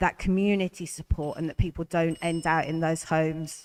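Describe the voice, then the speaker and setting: With a northern English accent, a woman speaks at a moderate pace in a fairly low voice with monotone, flat intonation. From northern England. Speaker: election candidate. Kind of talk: hustings panel answer.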